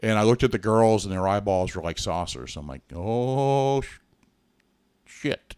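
A man with an American accent at a moderate pace, fairly low in pitch with lively intonation, in a dry, close sound with no echo. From Massachusetts, Billerica near Boston. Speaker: podcast co-host. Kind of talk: interview testimony. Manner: halting.

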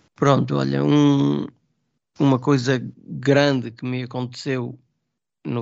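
Speaking very slowly, a man uses a voice of medium pitch. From Trás-os-Montes, Portugal (Vidago). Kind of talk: casual chat.

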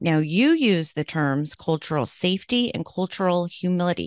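Against a quiet background, a woman speaks at a fairly low pitch and a moderate pace, in a dry, close sound with no echo. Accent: West Coast. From Oregon, US. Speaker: podcast host. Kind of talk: interview.

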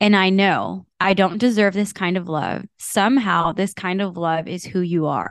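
At a fairly slow pace and over a quiet background, a woman with an unremarkable speaking voice talks at medium pitch with fairly even intonation. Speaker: podcast host. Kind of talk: casual chat about scripture.

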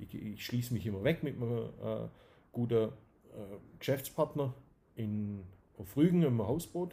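A man's somewhat breathy, dark and mellow voice at medium pitch, in a Swabian accent, with lively intonation, a moderate pace, and long, frequent pauses. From Swabia, Germany (Dusslingen near Tübingen). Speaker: company managing director. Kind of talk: interview. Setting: at his company premises.

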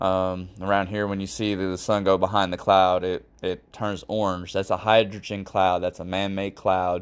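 The delivery comes at a moderate pace in a monotone, flat intonation. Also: man, very clean recording, silent background. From Florida, Fort Lauderdale. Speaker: podcast host. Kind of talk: casual monologue.

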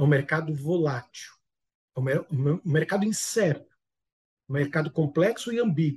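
In an ordinary speaking voice, fairly high in pitch, a man speaks at a fairly slow pace with lively intonation. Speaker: business management expert. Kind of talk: interview.

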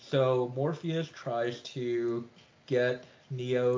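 A medium-pitched man amid noticeable background noise. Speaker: podcast co-host, movie reviewer. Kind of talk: casual chat, movie review podcast. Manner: casual, laughs often.

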